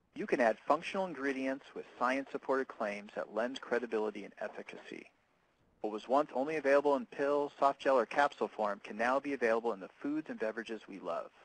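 Delivered at a very fast pace with ordinary pitch variation, the voice shows big swings in loudness in a dry sound with no echo. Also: man. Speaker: presenter. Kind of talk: webinar presentation. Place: workshop.

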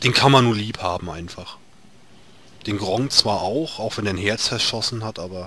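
A fairly low-pitched man talks at a moderate pace in a bright, sharp tone with ordinary pitch variation. His loudness swings a lot, and he takes long, frequent pauses. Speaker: gaming video creator. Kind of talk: let's play commentary. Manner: halting, repeats words.

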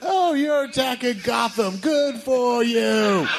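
A man shouts in a whiny, put-on character voice at an extremely high pitch. He goes at a fairly slow pace over clear background noise.

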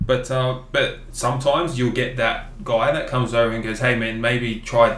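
A man with an Australian accent and medium pitch at a moderate pace, fairly even intonation, hardly any pauses, light background noise, and audible room echo. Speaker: podcast host. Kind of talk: casual chat. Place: office.

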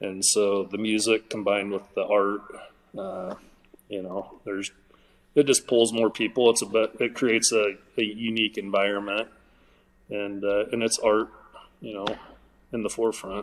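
With an American accent, a man speaks at a moderate pace and a fairly low pitch. His intonation is monotone and flat, broken by long, frequent pauses. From southwest Iowa. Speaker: artist and event organizer; guest. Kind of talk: casual interview chat. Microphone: video call.

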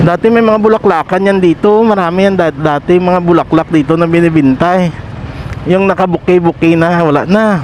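This man has a high voice and fairly even intonation, moving at a fairly quick pace. His loudness stays very even over noticeable background noise. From Pototan, Iloilo, Philippines. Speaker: local motovlogger. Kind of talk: vlog narration while riding. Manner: frequent laughing, casual.

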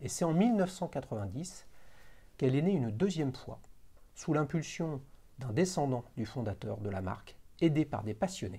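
A man's somewhat breathy voice with a dark, mellow tone, very wide pitch swings, a fairly slow pace and long, frequent pauses. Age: 50s. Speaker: watch channel host; show host. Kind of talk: casual interview; scripted narration. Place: home room. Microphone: lapel.

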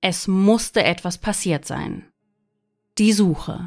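The tone is serious, in a very clean recording with a silent background. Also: woman. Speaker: true-crime narrator. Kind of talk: true-crime narration, scripted-sounding case report. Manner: measured, serious storytelling pace; sombre, suspenseful, factual tone.

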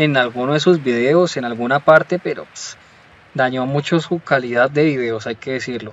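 Here a man is talking. The rise and fall of his pitch is ordinary. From Colombia. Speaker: YouTuber. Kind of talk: commentary video monologue. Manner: animated.

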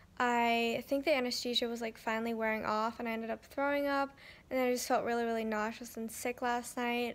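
Mumbling at a fairly quick pace, a woman speaks with a high pitch and a tired tone. Her intonation is monotone and flat. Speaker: vlogger. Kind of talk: casual vlog chat. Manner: tired, mumbled speech with a sore mouth. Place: home room. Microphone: phone near.

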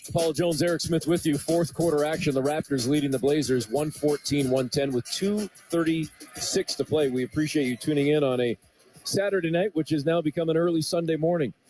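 A fairly high-pitched man with ordinary pitch variation and very even loudness, over music in the background. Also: moderate pace. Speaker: radio play-by-play announcer. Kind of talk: live commentary. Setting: radio broadcast of a basketball game.

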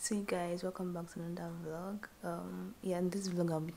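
A woman's fairly slow, monotone, flat delivery against light background noise. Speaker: vlogger. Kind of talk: casual vlog chat. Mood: relaxed, grateful. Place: home room. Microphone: phone near.

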